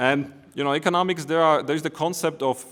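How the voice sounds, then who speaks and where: A man with a Slovak accent speaks at a fairly quick pace. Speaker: economist and politician. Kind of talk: conference presentation. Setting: conference. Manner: hesitant, with fillers and restarts.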